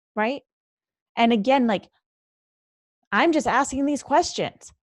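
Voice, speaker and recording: At a fairly slow pace, a woman speaks in an animated tone with a high pitch and ordinary pitch variation. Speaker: leadership coach and podcast host. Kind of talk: solo podcast monologue. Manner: occasional stutter.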